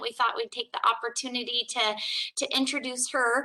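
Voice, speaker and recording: Raised and projected, the woman's voice carries a bright, sharp tone. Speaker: city HR staff presenter. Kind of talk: presentation at public board meeting.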